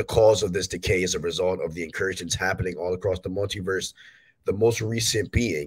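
Speaking at a fairly quick pace, a man with a low pitch and a slightly husky edge shows ordinary pitch variation.

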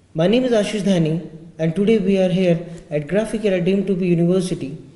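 Audible room echo surrounds a dark, mellow tone with ordinary pitch variation. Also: man. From India. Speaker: webinar moderator. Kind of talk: formal interview. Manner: formal. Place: hall.

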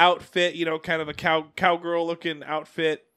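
A man talks loudly in a high pitch. The recording is very clean with a silent background. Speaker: podcast host. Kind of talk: casual chat.

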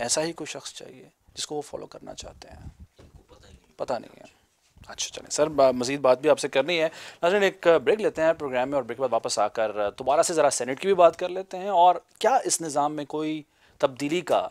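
Speaking at a moderate pace, a man with fairly high pitch shows ordinary pitch variation and big swings in loudness. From Pakistan. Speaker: TV talk show host. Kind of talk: political TV interview. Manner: formal. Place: home room. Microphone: lapel.

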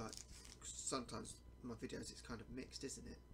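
Noticeable background noise surrounds a man speaking at a fairly quick pace. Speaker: food reviewer. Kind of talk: casual vlog chat. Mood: relaxed, cheerful. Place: home room. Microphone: webcam.

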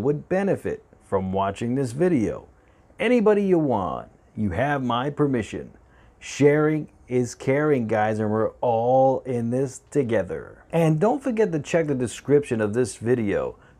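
This man talks at a fairly slow pace in a dark, mellow tone. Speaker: cooking channel host. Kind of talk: casual vlog intro. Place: kitchen. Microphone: lapel.

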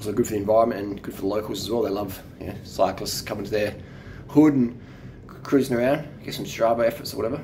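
There is light background noise as a man talks at a very fast pace with ordinary pitch variation. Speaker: cycling vlogger. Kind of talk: casual vlog chat. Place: home room. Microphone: phone near.

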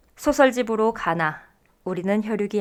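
On a very clean recording with a silent background, a woman speaks at a very slow pace with a medium pitch and ordinary pitch variation. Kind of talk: radio program introduction. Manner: clear, listener-friendly delivery.

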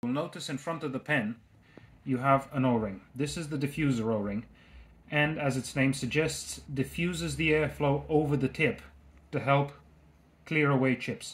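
A somewhat breathy man talks at a moderate pace. His pitch varies in an ordinary way. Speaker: tool maker demonstrator. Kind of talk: tutorial. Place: workshop.

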